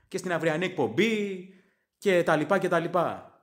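A man with a high pitch and an English accent. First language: English (speaking Greek). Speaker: sports fan podcaster. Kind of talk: casual sports commentary monologue.

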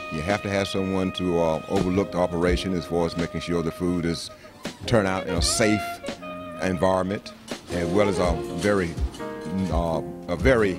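Clear background music behind a man at a moderate pace. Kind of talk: interview answer. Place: cafe. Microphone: handheld.

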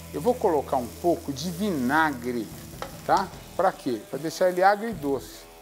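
A man speaks at a fairly slow pace while music plays faintly in the background. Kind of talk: cooking tutorial. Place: kitchen. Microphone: lapel.

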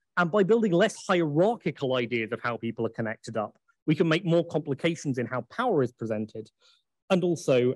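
Against a quiet background, a man with an English accent speaks at a moderate pace in a dry sound with no echo. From England. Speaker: academic conference speaker. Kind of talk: lecture. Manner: frequent filler ums. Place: hall.

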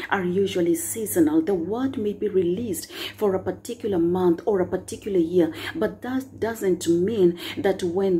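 Over light background noise, a woman speaks at a moderate pace in a dark, mellow, somewhat breathy tone with ordinary pitch variation. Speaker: preacher sharing a prophetic word. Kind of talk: sermon. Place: home room. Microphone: phone near.

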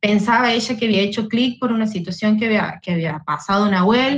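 A woman's medium-pitched, somewhat breathy voice moves with ordinary pitch variation. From Santiago del Estero, Argentina. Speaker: social worker. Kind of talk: live online panel discussion. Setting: video call.

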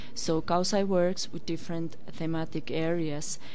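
A woman with a very deep, low pitch speaks in fairly even intonation, the sound dry with no echo and light background noise behind her. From Finland. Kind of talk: interview. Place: studio. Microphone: studio mic.

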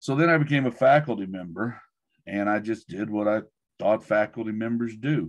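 A man at a moderate pace, with ordinary pitch variation, over a quiet background. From US, rural Oklahoma (Mustang); Oklahoma. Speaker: education professor. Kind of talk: talk and Q&A in an online webinar. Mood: relaxed, good-humoured. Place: office. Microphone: video call.

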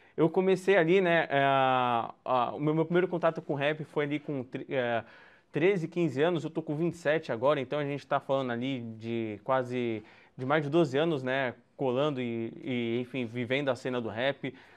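The man's fairly high voice moves at a moderate pace, its pitch varying in an ordinary way. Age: 20s. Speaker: journalist and rap channel presenter; journalist, presenter. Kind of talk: online lecture. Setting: home, video call. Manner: halting, with many fillers. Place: home room.

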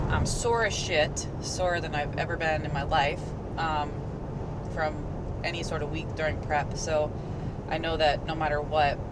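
A woman speaks at a moderate pace with long, frequent pauses. Loud background noise runs throughout. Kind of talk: casual vlog chat. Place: car. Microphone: camera far.

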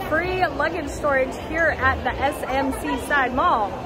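With crowd noise in the background, a woman speaks at a fairly slow pace with ordinary pitch variation. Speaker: family travel vlogger. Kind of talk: casual vlog chat. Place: shop. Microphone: phone near.

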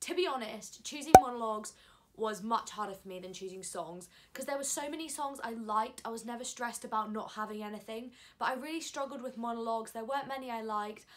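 The speaker is a woman talking at a very fast pace. She varies her pitch in an ordinary way. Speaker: drama student vlogger. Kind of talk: casual vlog chat. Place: home room. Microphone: phone near.

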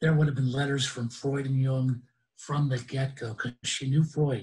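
A man at a moderate pace, slightly mellow in tone, with fairly even intonation. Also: medium pitch for a man.

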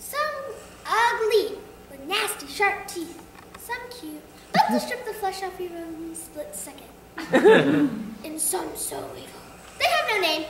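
A woman does a squeaky put-on character voice at extremely high pitch and a fairly slow pace, with clear echo and loud background noise. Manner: spooky, rambling.

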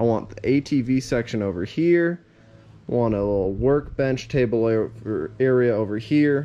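A man's pitch varies in an ordinary way while he talks at a fairly slow pace. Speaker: DIY vlogger. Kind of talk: casual vlog chat. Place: workshop. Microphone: phone near.

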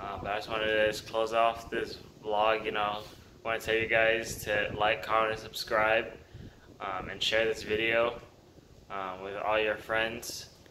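Over light background noise, the voice moves at a fairly slow pace in a monotone, flat intonation. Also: man, fairly low pitch for a man. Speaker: vlogger. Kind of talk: casual vlog chat.

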